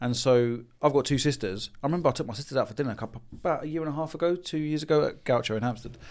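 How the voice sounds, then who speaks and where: In a very clean recording with a silent background, a man with a fairly high pitch talks very fast with hardly any pauses and ordinary pitch variation. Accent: London. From London, Haringey. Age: 40s. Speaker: business consultant for tradesmen. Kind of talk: casual chat.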